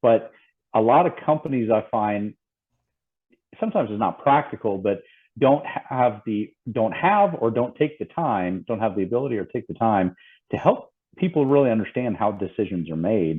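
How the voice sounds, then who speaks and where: A man speaks with a Southern US accent at a medium pitch. His intonation is lively. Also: moderate pace. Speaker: safety consultant. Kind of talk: podcast interview.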